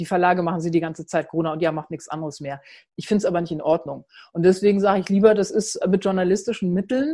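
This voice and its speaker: Very fast, somewhat breathy speech with fairly even intonation over a quiet background. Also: woman. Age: 50s. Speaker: journalist and founder of a women's platform. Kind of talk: online talk presentation.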